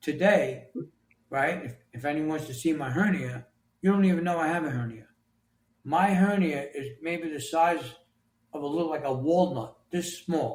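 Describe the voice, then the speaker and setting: Using a New York accent, a man speaks at a fairly high pitch and moderate pace, with ordinary pitch variation and long, frequent pauses. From New York City. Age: 60s. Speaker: author and construction leader. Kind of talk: interview.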